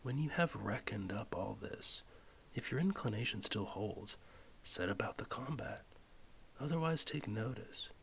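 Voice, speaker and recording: Whispering at a moderate pace, the voice keeps a calm tone. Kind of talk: philosophy text reading, audiobook-style ASMR. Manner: soft-spoken, calm.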